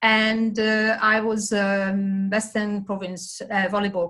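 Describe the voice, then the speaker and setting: In a Hungarian accent, a woman speaks at a very slow pace. Her pitch is fairly high and her intonation fairly even. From Hungary. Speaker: sports development manager. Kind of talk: presentation.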